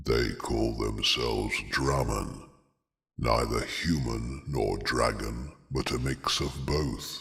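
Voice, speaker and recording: In a put-on character voice, a man talks very deep and low. His delivery is very slow. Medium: read story. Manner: steady, grave.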